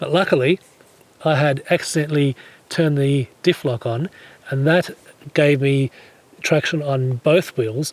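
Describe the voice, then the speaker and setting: Fairly high male voice, moderate speed, ordinary pitch variation. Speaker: 4WD touring vlogger. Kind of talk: casual storytelling to camera.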